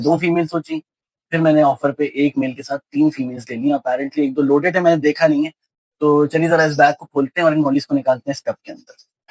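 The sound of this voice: At a fairly quick pace, a man speaks in a fairly high pitch. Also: dry, close sound with no echo, slightly mellow tone.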